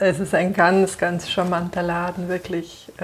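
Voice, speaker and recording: Noticeable background noise behind a speaking woman. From Bavaria, Munich. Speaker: podcast host and coach. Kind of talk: casual interview. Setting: on a couch in a bookshop.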